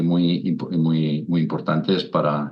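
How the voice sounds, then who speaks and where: A man speaks at a fairly slow pace. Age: 60s. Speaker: naturalist, wetland expert. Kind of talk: interview. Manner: halting, many repetitions and fillers.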